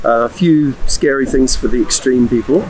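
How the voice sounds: At a moderate pace, a man with a medium pitch and a slightly mellow tone speaks with ordinary pitch variation over faint background noise.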